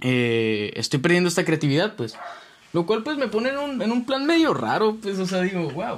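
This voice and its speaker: A man with a Mexican accent speaks in a high voice, his pitch swinging very widely over noticeable background noise. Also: moderate pace. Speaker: podcast host. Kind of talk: casual solo monologue. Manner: halting.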